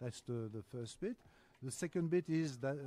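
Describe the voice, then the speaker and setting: With a French accent, a man speaks at medium pitch with ordinary pitch variation and a dark, mellow tone, in a dry, close sound with no echo. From France. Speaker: business development executive. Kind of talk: podcast interview. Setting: live podcast at trade show. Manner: hesitant, many filler sounds.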